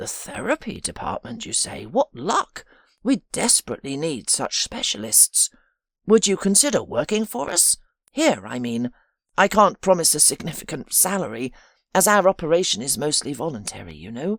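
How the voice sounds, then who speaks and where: At a moderate pace and middle pitch, a shaky, put-on character voice is heard on a very clean recording with a silent background. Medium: read story. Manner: gentle, warm.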